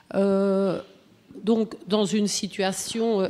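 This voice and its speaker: A woman with a Belgian accent talks at a very slow pace and a medium pitch. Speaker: animal-assisted therapy practitioner. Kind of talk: comment from the floor. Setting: conference round table. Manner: hesitant, many fillers.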